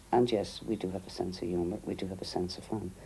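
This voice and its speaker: A man with an Irish accent has a dark, mellow tone that is somewhat breathy. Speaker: interviewee. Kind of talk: documentary interview.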